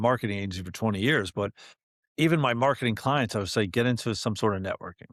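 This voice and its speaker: Against a quiet background, a man speaks very fast at a medium pitch. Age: 50s. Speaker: entrepreneur and networking community founder. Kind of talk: podcast interview. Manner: casual, conversational.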